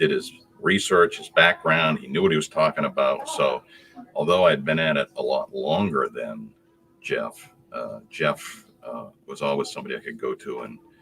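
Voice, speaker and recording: There is noticeable background noise as a man speaks with big swings in loudness. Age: 70s. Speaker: customer, retired construction products salesman. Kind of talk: casual chat. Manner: halting.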